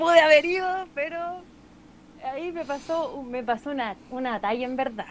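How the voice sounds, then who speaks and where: A woman with a high pitch speaks at a moderate pace, using ordinary pitch variation, long, frequent pauses and big swings in loudness. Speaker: singer. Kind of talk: casual chat.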